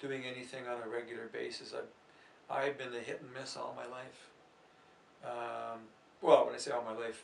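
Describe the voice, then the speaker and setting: A man at a moderate pace with big swings in loudness, audible room echo and noticeable background noise. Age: 60s. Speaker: athletics coach. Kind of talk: interview. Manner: halting.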